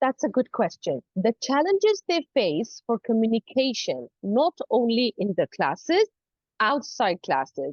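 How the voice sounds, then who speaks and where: A high-pitched woman's voice at a fairly slow pace, with very wide pitch swings and very even loudness. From Saudi Arabia. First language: not English; English is her third language. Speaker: university English lecturer. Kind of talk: interview. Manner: hesitant, many fillers.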